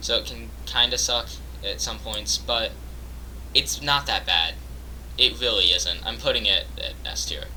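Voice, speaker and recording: Noticeable background noise sits under this man's voice. He talks at a fairly quick pace. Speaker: gaming youtuber. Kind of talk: casual commentary. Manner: hesitant, many fillers.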